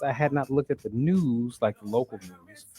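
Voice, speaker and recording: Music plays in the background as a man speaks. His pitch is fairly high and his intonation lively. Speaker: radio talk show co-host. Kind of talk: live radio talk show banter.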